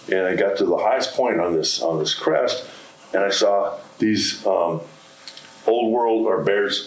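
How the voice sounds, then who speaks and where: With long, frequent pauses and very even loudness, a man speaks at a fairly slow pace amid noticeable background noise and audible room echo. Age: 70s. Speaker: lepidopterist. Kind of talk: lecture; question and answer session. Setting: stage with audience.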